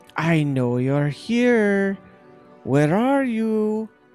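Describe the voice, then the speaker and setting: A man puts on a robotic character voice, high in pitch with very wide pitch swings. Faint music plays in the background. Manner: ominous, calling out.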